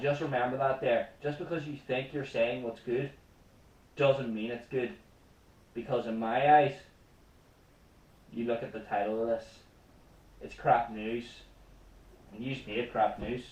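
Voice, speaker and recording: A man with a Northern Irish accent talks at medium pitch and a fairly slow pace, his intonation fairly even. His loudness swings widely, and he pauses long and often. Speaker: comedy news show host. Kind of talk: comedic news commentary rant. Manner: impassioned.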